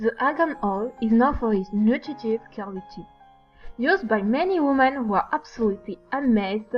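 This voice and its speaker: A woman's fairly high voice in a French accent, lively in intonation, with music in the background. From France. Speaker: geology student. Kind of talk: student project presentation. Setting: low-quality microphone.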